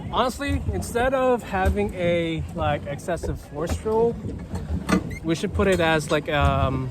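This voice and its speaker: A man talks at a fairly slow pace with very even loudness over noticeable background noise. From Philippines. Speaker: HEMA fencer. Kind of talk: casual chat. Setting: outdoors on a pedal boat. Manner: slight stutter; hesitant, many fillers.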